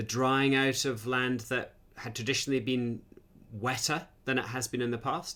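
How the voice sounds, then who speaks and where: A man with a Scottish accent speaks at a moderate pace and a medium pitch. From Scotland. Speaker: academic host. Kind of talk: live Q&A interview.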